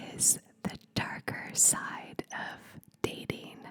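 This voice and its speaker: A woman whispers in a soothing tone over noticeable background noise. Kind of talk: ASMR whispered advice talk. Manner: whispered, soft, soothing.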